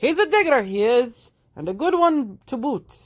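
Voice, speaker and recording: A woman puts on a gruff, loud character voice. Her pitch is high, with very wide swings. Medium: read story. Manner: loud, gruff pirate talk.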